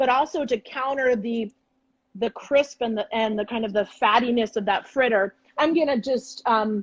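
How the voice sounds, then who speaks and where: In a plain, everyday voice, a woman speaks at a fairly high pitch with ordinary pitch variation and a moderate pace. The sound is dry and close with no echo. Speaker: chef and cooking teacher. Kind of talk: cooking demonstration on a live stream. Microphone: phone with headphones.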